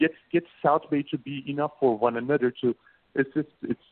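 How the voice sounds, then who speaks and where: In a Turkish accent, a man talks with a fairly high pitch. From Turkey. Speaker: co-working space founder. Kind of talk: radio interview. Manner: halting.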